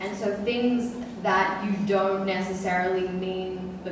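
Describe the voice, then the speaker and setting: Amid noticeable background noise and strong room echo, a woman speaks with ordinary pitch variation. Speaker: guest. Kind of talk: interview answer. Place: hall. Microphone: pa.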